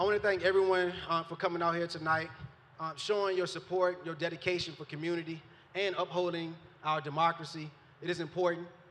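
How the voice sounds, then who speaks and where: A man speaks in a high voice at a very fast clip. His intonation stays flat and monotone. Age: 30s. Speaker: mayoral candidate. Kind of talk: political closing statement. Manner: halting.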